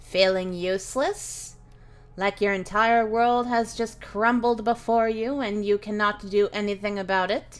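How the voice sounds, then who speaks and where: In a put-on character voice, a female-sounding speaker uses a medium pitch at a moderate pace. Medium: actual play. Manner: gentle, warm, fatherly.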